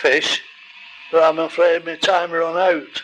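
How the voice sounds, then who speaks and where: A man talks in a high pitch over noticeable background noise. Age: 80s+. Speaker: retired goldfish breeder and show judge. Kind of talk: casual narration. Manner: halting.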